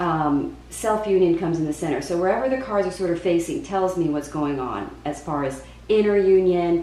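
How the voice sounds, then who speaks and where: A woman's fairly low voice, with ordinary pitch variation, a moderate pace and audible room echo. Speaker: tarot reader. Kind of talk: tarot reading monologue. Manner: halting, many fillers and repeats; speaking at moderate volume after test.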